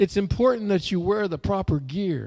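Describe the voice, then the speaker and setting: A man talks in a dark, mellow tone with a quiet background. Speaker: pastor. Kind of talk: sermon. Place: church. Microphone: handheld.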